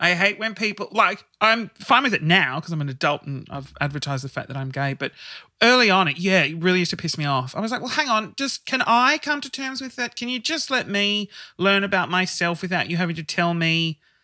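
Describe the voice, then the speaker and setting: With an Australian accent, a man projects a raised voice with a bright, sharp tone at a high pitch. His pitch swings very widely, and his pace is fairly quick. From Sydney, Australia. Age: 30s. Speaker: guest sharing coming out story. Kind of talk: casual chat. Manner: animated.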